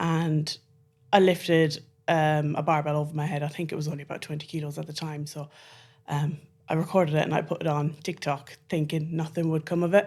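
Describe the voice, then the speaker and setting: Speaking at a fairly quick pace in an Irish accent, this voice stays monotone with flat intonation, captured in a very clean recording against a silent background. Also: woman. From Ireland. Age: 30s. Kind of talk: interview conversation.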